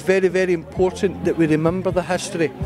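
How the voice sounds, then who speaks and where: A high-pitched man's voice with a Scottish accent, dry with no echo, clear music in the background. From Scotland. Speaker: historical reenactor. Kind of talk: interview answer. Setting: outdoors. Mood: earnest, reflective. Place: open country. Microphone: handheld.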